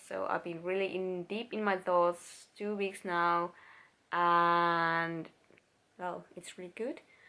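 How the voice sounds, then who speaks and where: A woman's medium-pitched, bright, sharp voice in a Finnish accent, fairly slow and monotone, on a very clean recording with a silent background. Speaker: vlogger. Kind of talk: personal vlog. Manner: halting.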